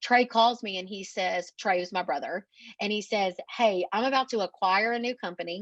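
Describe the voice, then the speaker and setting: A woman with an East Texas accent speaks at a moderate pace in a fairly high pitch with ordinary pitch variation, the sound dry and close with no echo against a quiet background. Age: 30s. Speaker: marketing agency owner. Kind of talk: podcast interview.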